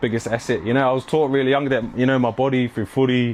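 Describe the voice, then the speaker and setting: Noticeable background noise sits behind a man speaking with a New Zealand accent. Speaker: clothing brand owner and athlete. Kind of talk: casual interview chat. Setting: at home, walking tour. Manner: casual, filler-heavy.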